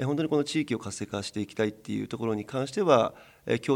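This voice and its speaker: The speaker talks at a very fast pace with ordinary pitch variation and vocal fry, on a very clean recording with a silent background. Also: man. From Hokkaido, Sunagawa. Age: 40s. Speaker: club president. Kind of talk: radio interview.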